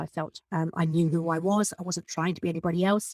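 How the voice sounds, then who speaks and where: A woman with a British accent talks at a very fast pace in a medium pitch. The recording is very clean with a silent background and a dry, close sound with no echo. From Britain. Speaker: podcast host and business coach. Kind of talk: podcast monologue. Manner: animated.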